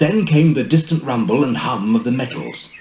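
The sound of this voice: The speech moves at a moderate pace with lively intonation, and audible room echo surrounds it.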